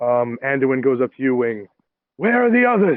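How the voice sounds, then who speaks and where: Using a put-on character voice, a man talks at a medium pitch and moderate pace with ordinary pitch variation and very even loudness. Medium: actual play. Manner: urgent, commanding.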